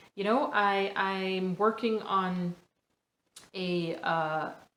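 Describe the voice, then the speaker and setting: A woman at medium pitch, with audible room echo. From Jamaica. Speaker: podcast host. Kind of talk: motivational podcast monologue. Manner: hesitant, with filler words.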